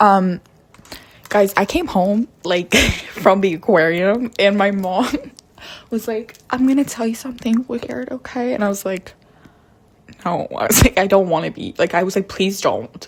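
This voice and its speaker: A quiet woman at a fairly slow pace, with ordinary pitch variation, long, frequent pauses and noticeable background noise. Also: medium pitch for a woman. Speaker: vlogger. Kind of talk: casual rant to camera. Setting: at home. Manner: speaking quietly.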